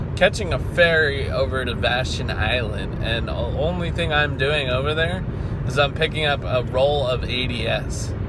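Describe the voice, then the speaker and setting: A man at a moderate pace, dry sound with no echo, loud background noise. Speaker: work vlogger. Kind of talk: casual vlog chat. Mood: relaxed, upbeat. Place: car. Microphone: phone near.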